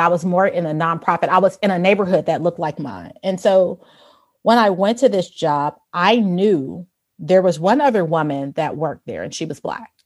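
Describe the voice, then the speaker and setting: Against a silent background in a very clean recording, a woman with an American accent uses an ordinary speaking voice at medium pitch, moderate pace and lively intonation. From Chicago, US Midwest. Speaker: fitness instructor. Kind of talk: interview.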